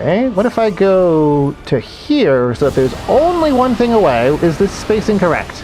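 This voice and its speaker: Noticeable background noise is present throughout. The talking goes at a moderate pace, with hardly any pauses. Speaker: gaming streamer. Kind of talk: live gameplay commentary. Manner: casual, conversational.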